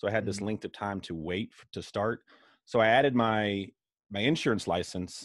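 Over a quiet background, a man in a normal speaking voice talks at a moderate pace with a fairly low pitch, ordinary pitch variation and a dry sound with no echo. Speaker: insurance broker and sales leader. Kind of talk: casual interview. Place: office. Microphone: video call.

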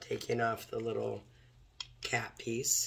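A woman speaks slowly at an extremely low pitch, hoarse and croaky with vocal fry, her pitch barely moving.

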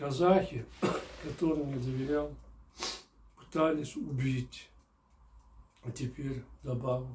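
A man talks at a very slow pace. His voice is somewhat breathy, with a dark, mellow tone. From Kyrgyzstan. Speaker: novelist reading his own book. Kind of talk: reading aloud. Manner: formal. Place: home room.

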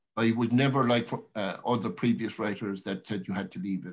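Over a quiet background, a man speaks at a fairly quick pace with ordinary pitch variation in a Cork accent. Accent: Irish, Cork. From Ireland. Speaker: poet. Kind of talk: talk between poems at a reading. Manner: casual, hesitant. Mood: warm, reflective. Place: home room. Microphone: webcam.

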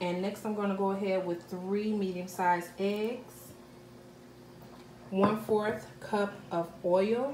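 The voice moves at a slow pace with fairly even intonation and a slightly mellow tone. Faint background noise sits underneath. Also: woman, medium pitch for a woman.

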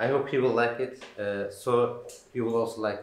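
Fairly even intonation at a moderate pace, with audible room echo. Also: man. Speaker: video host. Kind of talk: casual vlog intro. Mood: friendly, smiling. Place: shop. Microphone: camera far.

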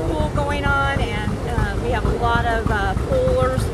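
Loud background noise surrounds a woman's voice, which has a dry sound with no echo. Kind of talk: interview answer. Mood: upbeat, enthusiastic. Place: open country.

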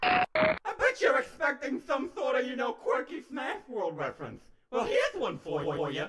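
A put-on character voice, high in pitch, at a moderate pace with hardly any pauses. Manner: mocking, smug.

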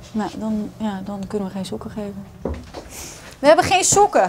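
Over noticeable background noise, a woman speaks at a moderate pace with long, frequent pauses, very wide pitch swings and big swings in loudness. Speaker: doctor. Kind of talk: medical consultation. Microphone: camera far.

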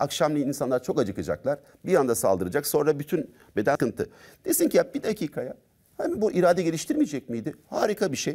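The background is silent. A man races along at a very fast pace. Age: 50s. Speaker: doctor and personal development trainer; personal development trainer. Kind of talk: talk show interview. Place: studio. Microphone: lapel.

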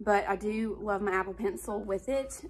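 A woman with an Alabama accent at a moderate pace. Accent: Alabama Southern US. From Alabama, US. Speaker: stay-at-home mom and lifestyle vlogger. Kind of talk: casual talk to camera. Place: home room. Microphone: phone near.

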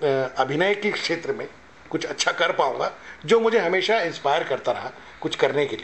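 Intonation rises and falls in a lively way. The voice belongs to a man. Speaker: actor. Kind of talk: interview answer. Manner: soft-spoken. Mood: calm, humble, reflective. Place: hall. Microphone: handheld.

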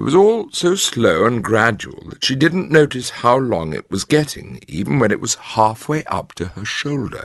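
Someone speaks in an unforced reading voice.

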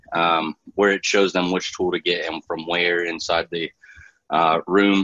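In a dry sound with no echo and a quiet background, a man speaks at a moderate pace in a very deep, low pitch with monotone, flat intonation. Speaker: state education STEM coordinator; presenter. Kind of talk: online professional development workshop. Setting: video call. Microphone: video call.

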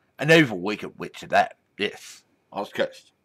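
A man speaks against a quiet background. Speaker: vlogger. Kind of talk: casual vlog storytelling. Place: home room. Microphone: webcam.

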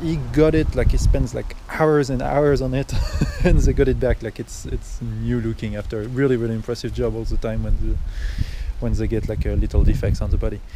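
Fairly quick male speech with a dry sound with no echo and noticeable background noise. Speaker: car seller or reviewer. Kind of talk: casual walk-around commentary. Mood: relaxed, laughing at times. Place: street. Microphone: phone near.

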